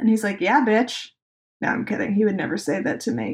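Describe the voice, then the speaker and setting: This woman's voice is fairly high and somewhat breathy, and her intonation is lively. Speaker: podcast host. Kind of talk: casual solo podcast talk. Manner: low energy.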